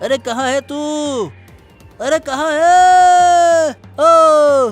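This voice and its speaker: A man shouts in a raised, projected, put-on character voice at a very slow pace. Faint music sits in the background. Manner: shouting, calling out loudly.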